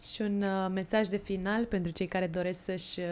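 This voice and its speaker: Over noticeable background noise, the speaker talks at a moderate pace in a flat, monotone delivery. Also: woman. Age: 30s. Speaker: podcast host. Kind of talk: interview.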